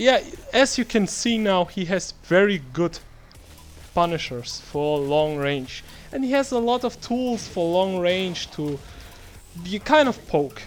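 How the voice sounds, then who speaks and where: With music playing in the background, a man speaks fairly slowly in a high voice whose pitch swings very widely. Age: 20s. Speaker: video game tutorial creator. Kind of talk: tutorial. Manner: halting, many fillers.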